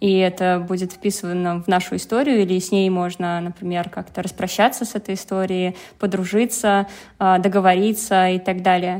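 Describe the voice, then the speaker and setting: Moderate pace, monotone and flat intonation, in a very clean recording with a silent background. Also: woman, medium pitch for a woman. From Penza, Russia. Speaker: learning assistant, former architect. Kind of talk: casual chat.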